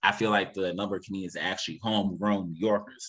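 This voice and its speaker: Fairly low in pitch, a man speaks at a fairly quick pace. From New York City (Harlem). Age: 20s. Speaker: stand-up comedian. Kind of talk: podcast interview. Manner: fast.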